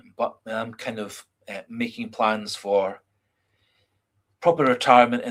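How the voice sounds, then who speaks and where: A fairly slow delivery in a Scottish accent, with fairly even intonation. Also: man. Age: 50s. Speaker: football fan livestreamer. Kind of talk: casual chat. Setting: livestream. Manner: halting, many fillers.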